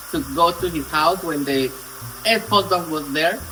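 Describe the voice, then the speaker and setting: Over noticeable background noise, a man uses a raised, projected voice at a moderate pace with ordinary pitch variation. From Colombia. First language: Spanish. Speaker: storytelling vlogger. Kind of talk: casual storytime vlog. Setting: home kitchen, cooking on camera. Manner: animated.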